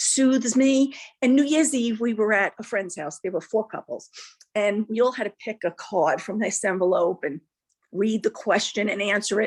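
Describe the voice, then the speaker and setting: In a dry, close sound with no echo, a woman with an unremarkable speaking voice talks at a moderate pace, fairly high in pitch with lively intonation. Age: 60s. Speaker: class participant. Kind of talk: casual chat, personal testimony. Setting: video call.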